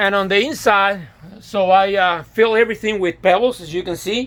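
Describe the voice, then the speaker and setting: Ordinary pitch variation marks a man's high-pitched voice. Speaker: DIY hobbyist. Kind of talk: casual tutorial walkthrough. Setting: inside a greenhouse. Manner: halting, many fillers and restarts.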